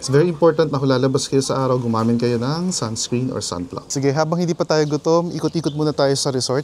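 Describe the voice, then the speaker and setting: Very fast delivery from a man, pitched fairly high, his pitch varying in an ordinary way. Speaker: travel vlogger. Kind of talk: travel vlog narration. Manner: casual Taglish code-switching; soft-spoken.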